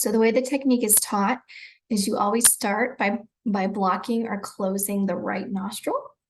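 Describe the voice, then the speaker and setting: A woman's fairly high, somewhat breathy voice in a calm, relaxed tone, at a moderate pace with fairly even intonation. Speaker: breathwork and self-care guide. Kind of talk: guided breathwork instruction.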